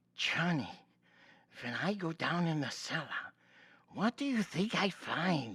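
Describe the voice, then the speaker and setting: Someone speaks in a put-on character voice at a fairly slow pace. Long pauses come often. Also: man, high pitch for a man. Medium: audio drama.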